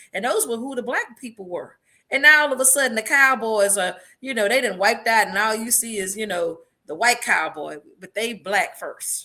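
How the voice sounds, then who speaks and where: In an American accent, a woman with a fairly high pitch and a bright, sharp tone sounds animated, speaking at a moderate pace with ordinary pitch variation and big swings in loudness. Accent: country twang. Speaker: podcast co-host. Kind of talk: casual chat.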